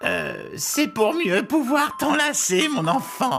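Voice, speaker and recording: A put-on character voice, spoken very slowly at a high pitch with very wide swings in pitch. Music plays clearly in the background. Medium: read story. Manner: falsely sweet.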